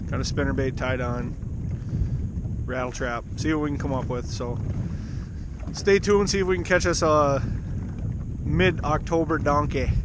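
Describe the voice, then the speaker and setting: A man talks at a moderate pace, leaving long, frequent pauses. The sound is dry with no echo, though noticeable background noise is present. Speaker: fishing vlogger. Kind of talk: casual vlog chat. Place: boat. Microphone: phone near.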